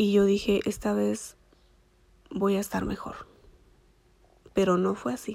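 Speaking at a fairly slow pace with a Mexican accent, this voice leaves long, frequent pauses. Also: woman. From Michoacán, Mexico. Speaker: dentist. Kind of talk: personal storytelling monologue. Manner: halting, many fillers.

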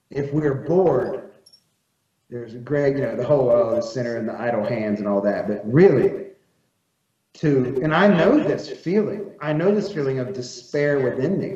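A man with an American accent talks at a moderate pace in a fairly high voice, with lively intonation. He leaves long, frequent pauses, and the room echo is audible. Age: 30s. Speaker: magazine editor and farmer. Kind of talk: casual chat.

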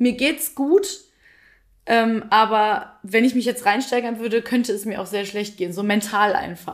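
A fairly high-pitched woman at a fairly slow pace, ordinary pitch variation, in a very clean recording with a silent background. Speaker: podcast co-host. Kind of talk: casual chat. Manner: talkative.

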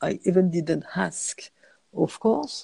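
A woman with a French accent. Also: dry, close sound with no echo. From France, countryside. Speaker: cinematographer. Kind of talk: interview. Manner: halting.

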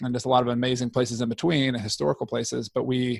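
A man at a medium pitch, on a very clean recording with a silent background and a dry, close sound with no echo. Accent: Southern US. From Georgia, US South (near Atlanta). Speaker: trail advocacy board member and small business owner. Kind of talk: interview.

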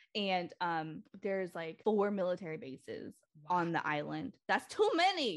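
A woman with an American accent has an unremarkable speaking voice of medium pitch. She talks at a moderate pace with ordinary pitch variation. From Lynn, Massachusetts, US; Cambodian community. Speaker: therapist. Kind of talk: casual podcast interview.

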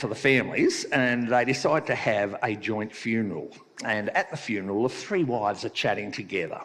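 This is an unforced reading voice. It reads the words aloud.

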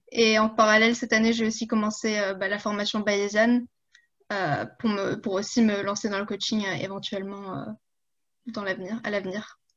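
At a medium pitch, a woman speaks with monotone, flat intonation. She keeps a moderate pace. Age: 20s. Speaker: coaching client and fitness influencer. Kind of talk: casual interview. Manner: hesitant, many fillers.

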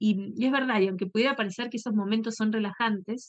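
A woman with a fairly high pitch and a somewhat breathy voice is heard in a dry, close sound with no echo. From Argentina. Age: 40s. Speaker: podcast host, yoga and meditation teacher. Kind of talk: casual talk and guided meditation. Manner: halting; calm, soothing.

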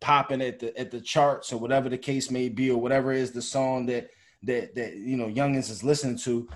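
A man is talking. His pace is fairly quick. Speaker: podcast co-host. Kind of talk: casual chat.

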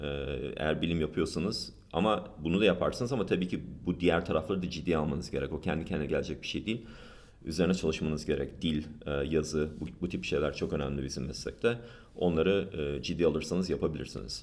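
A man with a very deep, low pitch and vocal fry talks at a very fast pace with ordinary pitch variation. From United States. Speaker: patent lawyer. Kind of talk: interview.

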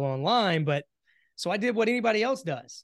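Lively intonation marks a man with a Southern US accent. He talks at a very fast pace over a quiet background. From US South, South Carolina. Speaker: entrepreneur. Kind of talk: interview.

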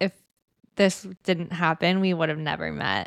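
In a very clean recording with a silent background and a dry, close sound with no echo, a woman with a plain, everyday voice and fairly low pitch speaks at a moderate pace. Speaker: podcast host. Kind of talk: casual chat.

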